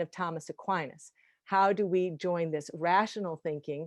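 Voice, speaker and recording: A woman speaks in a normal speaking voice at a moderate pace, her fairly low pitch moving with ordinary variation, in a dry, close recording with no echo and a quiet background. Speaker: star lore historian and lecturer. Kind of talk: lecture.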